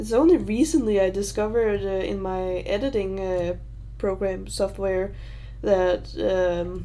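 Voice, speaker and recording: This woman talks fairly slowly, and audible room echo follows her words. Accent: Danish. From Denmark. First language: Danish. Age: 20s. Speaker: YouTuber. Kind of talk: livestream Q&A. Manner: halting.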